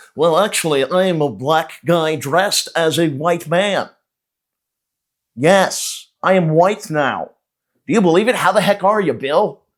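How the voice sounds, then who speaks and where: A man uses a put-on character voice that is nasal and high-pitched. He talks at a fairly slow pace on a very clean recording with a silent background. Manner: prim, overly chipper.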